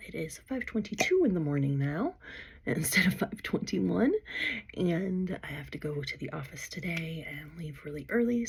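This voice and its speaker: Using a put-on character voice, a woman speaks quietly and raspily at a fairly low pitch and a moderate pace, with big swings in loudness. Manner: speaking very quietly.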